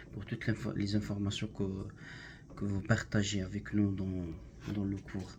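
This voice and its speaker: A man with a fairly low pitch talks in a dark, mellow tone that is somewhat breathy. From Algeria. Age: 20s. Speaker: language student, factory worker. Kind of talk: class self-introduction presentation. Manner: halting, many hesitations.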